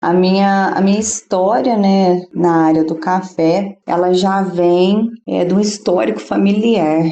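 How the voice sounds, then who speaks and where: With a Minas Gerais accent, a woman speaks very slowly in a medium-pitched, dark, mellow voice with ordinary pitch variation. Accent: sweet Minas Gerais. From southern Minas Gerais, Brazil. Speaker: coffee farmer. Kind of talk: interview.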